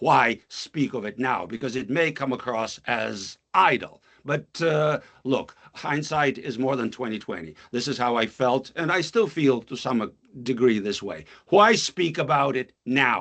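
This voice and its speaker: With a Russian accent and vocal fry, a man talks at a fairly slow pace, with medium pitch and lively intonation. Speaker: author and professor. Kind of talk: poetry reading.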